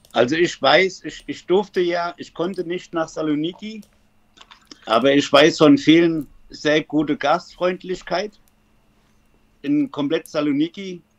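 Speaking with a German accent, a man talks very slowly with long, frequent pauses in a high pitch, with ordinary pitch variation and big swings in loudness. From Germany, Frankfurt area. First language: German (speaking Greek). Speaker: football fan. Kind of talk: interview.

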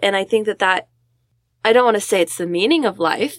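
An unremarkable speaking voice with ordinary pitch variation in a dry, close sound with no echo. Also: woman. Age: 20s. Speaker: student podcast co-host. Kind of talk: casual discussion.

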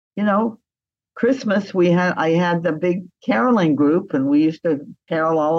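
A woman speaks in an ordinary speaking voice, fairly low in pitch. Her pitch varies in an ordinary way at a moderate pace. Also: very even loudness. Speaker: interviewee. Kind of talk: interview.

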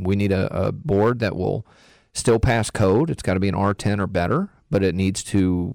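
A man with an American accent speaks at a fairly low pitch with ordinary pitch variation on a very clean recording with a silent background. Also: dry, close sound with no echo. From Texas. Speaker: insulation contractor. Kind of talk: radio interview.

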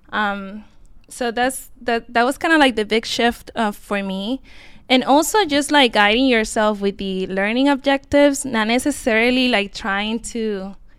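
A woman speaks with an unremarkable speaking voice, fairly high in pitch, with ordinary pitch variation at a moderate pace. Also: very clean recording, silent background. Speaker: medical student. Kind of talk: casual panel interview.

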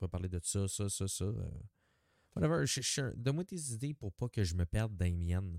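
A man with a Quebec accent, his very deep voice dark and mellow, at a moderate pace, on a very clean recording with a silent background. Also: dry, close sound with no echo. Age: 30s. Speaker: podcaster. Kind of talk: casual monologue. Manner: halting.

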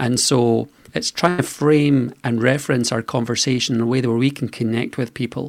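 With a Scottish accent, a man talks at a moderate pace and a medium pitch. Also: fairly even intonation, very clean recording, silent background. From Scotland. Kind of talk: radio interview.

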